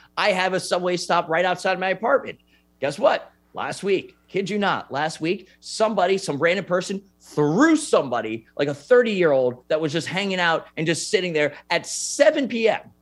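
A man with a high pitch speaks at a moderate pace over music in the background. His intonation is lively and his tone animated. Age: 30s. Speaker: sports podcast host. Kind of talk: casual chat.

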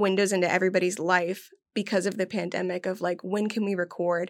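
In a very clean recording with a silent background, a woman with an unremarkable speaking voice and medium pitch talks at a fairly quick pace. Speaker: editor and former podcast producer. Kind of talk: casual interview.

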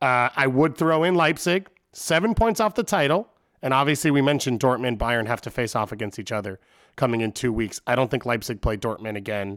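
A man's ordinary speaking voice in an American accent, medium in pitch, with lively intonation at a fairly quick pace, the sound dry and close with no echo. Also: very clean recording, silent background. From Long Island, New York. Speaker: soccer podcast guest panelist. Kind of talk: casual banter about soccer.

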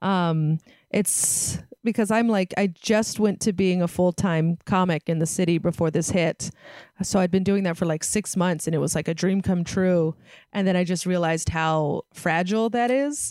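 In a West Coast US accent, a woman speaks at a fairly low pitch and moderate pace with ordinary pitch variation and very even loudness, in a dry, close sound with no echo. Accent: General American, West Coast. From San Francisco Bay Area. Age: 30s. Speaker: stand-up comedian. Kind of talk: casual chat. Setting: video call.

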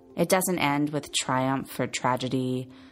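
A woman's very deep, low voice with ordinary pitch variation, over music in the background. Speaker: podcast host. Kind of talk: scripted narration.

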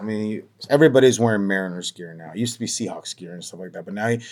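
A man speaks with an American accent in an ordinary speaking voice. His pitch is fairly low, with ordinary pitch variation. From Montana, US. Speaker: baseball beat reporter. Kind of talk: casual interview. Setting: remote call.

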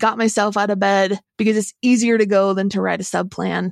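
A woman's ordinary speaking voice with an American accent, fairly high in pitch and at a fairly quick pace, dry and close with no echo, on a very clean recording with a silent background. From Oregon. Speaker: former teacher. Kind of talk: interview.

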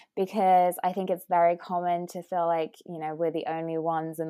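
Her voice is very deep and low in pitch, with a dark, mellow tone. The woman speaks at a moderate pace in a monotone, flat intonation. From Britain. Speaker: nutritionist, wellness coach and author. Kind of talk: interview, conversational.

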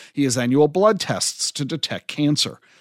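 At a fairly quick pace, a man with a fairly high pitch uses a plain, everyday voice and lively intonation. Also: very clean recording, silent background. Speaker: podcast host. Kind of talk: interview and monologue.

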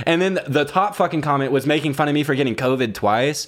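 This man has a normal speaking voice, talking with ordinary pitch variation at a fairly quick pace. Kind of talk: casual chat. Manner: joking, laughs often.

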